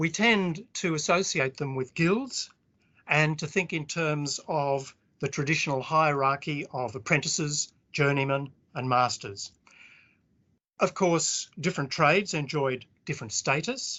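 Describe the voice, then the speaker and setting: A man with an Australian accent talks at a fairly high pitch. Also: ordinary pitch variation, fairly slow pace. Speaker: historian. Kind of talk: academic lecture.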